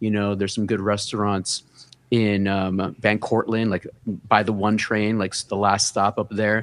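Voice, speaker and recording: Using a monotone, flat intonation, a man with a New York accent speaks at a fairly low pitch and a fairly slow pace. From New York City, the Bronx (Hunts Point). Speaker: fashion and gaming content creator. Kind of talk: casual interview.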